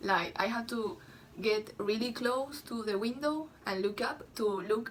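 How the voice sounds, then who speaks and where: A woman with a Spanish accent talks at a fairly slow pace, her fairly high pitch showing ordinary variation, against noticeable background noise. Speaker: vlogger. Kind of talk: casual vlog monologue. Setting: at home, bedroom. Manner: halting, many fillers; louder than usual.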